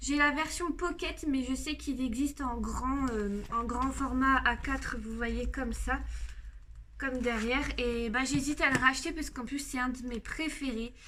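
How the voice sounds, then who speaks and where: A woman's raised, projected, high-pitched voice at a fairly slow pace, amid noticeable background noise and audible room echo. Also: fairly even intonation. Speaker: YouTuber showing coloring book collection. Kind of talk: casual video presentation. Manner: hesitant, many fillers.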